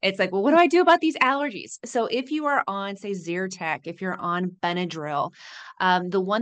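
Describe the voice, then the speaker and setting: Speaking with an American accent over a quiet background, a woman uses a plain, everyday voice at medium pitch. Her intonation is lively and her pace moderate. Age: 50s. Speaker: pharmacist and fitness coach. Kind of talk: casual interview.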